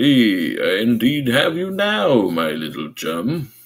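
Putting on a resonant character voice, a man speaks at a fairly slow pace and medium pitch with very wide pitch swings. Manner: playful, menacing.

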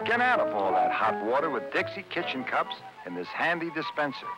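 Over music in the background, a man with a fairly high pitch speaks at a fairly quick pace, his pitch swinging very widely. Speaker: commercial narrator. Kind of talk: TV commercial read. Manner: fatherly, advising.

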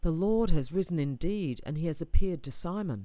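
An Australian accent in a very clean recording with a silent background.

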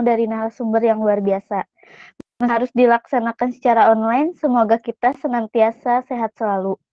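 A woman's fairly high voice at a moderate pace, monotone and flat, with a dry sound free of echo and a quiet background. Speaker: student event MC. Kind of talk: formal announcement. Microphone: video call.

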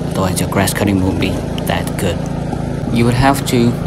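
A man speaks with ordinary pitch variation against loud background noise. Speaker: owner reviewing mower. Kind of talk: casual review commentary. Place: farm machine. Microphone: phone near.

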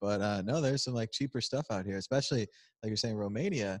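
With an American accent, a man talks very fast using ordinary pitch variation. The recording is dry with no echo and a quiet background. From United States. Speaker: crypto video host. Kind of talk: casual chat. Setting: conference venue, on camera. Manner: animated, joking. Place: hall.

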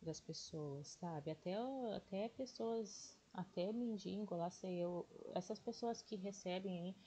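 A woman speaks at a very slow pace in a dark, mellow, somewhat breathy tone, with a medium pitch and ordinary pitch variation. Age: 40s. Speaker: day trading YouTuber. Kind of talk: casual tutorial livestream.

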